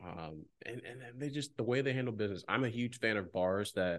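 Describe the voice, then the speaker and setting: With normal pitch movement and a medium speed, a man talks over a quiet background. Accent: American. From Ohio. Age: 20s. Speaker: former podcaster. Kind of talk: casual chat.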